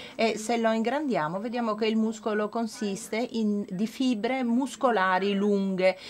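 Light background noise sits behind a woman with a fairly high pitch who talks fairly slowly, with hardly any pauses and fairly even intonation. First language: not Italian (speaking Italian). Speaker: medical researcher; conference presenter. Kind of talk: lecture. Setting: conference with audience. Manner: halting, with many fillers. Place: hall. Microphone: podium.

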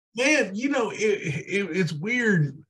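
With very wide pitch swings, a man speaks in a somewhat breathy voice over a quiet background. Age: 40s. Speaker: podcast co-host, sports talk. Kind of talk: casual chat. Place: home room. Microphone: video call.

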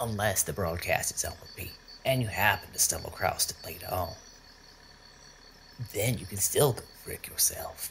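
A raspy, put-on character voice speaks at a fairly slow pace over clear background noise. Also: man. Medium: audio drama. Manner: cocky, crude, folksy.

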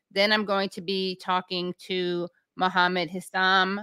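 Against a quiet background, a woman's bright, sharp tone comes through with a dry sound and no echo. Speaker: show host. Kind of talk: livestream host intro. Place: home room. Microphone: studio mic.

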